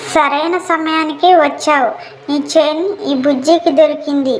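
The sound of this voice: A woman uses a cartoonish character voice pitched high. She talks at a fairly slow pace with fairly even intonation.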